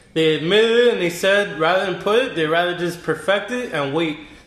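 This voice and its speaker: In a room with audible echo and noticeable background noise, a man speaks at a fairly quick pace, high-pitched for a man, with ordinary pitch variation. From born in New York, raised in Miami. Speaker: beer delivery entrepreneur. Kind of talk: casual chat.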